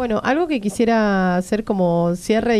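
A woman speaks at a fairly slow pace, her tone dark and mellow, her pitch medium and her pitch variation ordinary. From Argentina. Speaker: radio host. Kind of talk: interview. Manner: halting. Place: studio. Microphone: studio mic.

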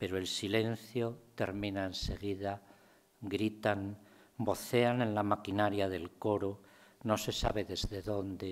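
A man speaks very slowly at a fairly low pitch with monotone, flat intonation. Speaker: poet. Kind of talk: poetry reading, measured and reflective. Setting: university lecture room with audience. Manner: slow, contemplative, deliberate; serious, restrained, understated. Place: hall. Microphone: podium.

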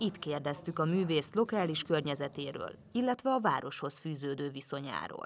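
At a moderate pace, a woman speaks with a very deep, low pitch and lively intonation. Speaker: reporter. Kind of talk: scripted narration.

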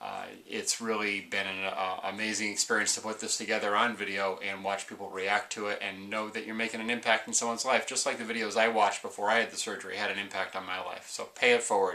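A man talks at a very fast pace with hardly any pauses. His voice is fairly low and his intonation monotone and flat. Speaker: weight-loss surgery vlogger. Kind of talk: casual vlog chat. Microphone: webcam.

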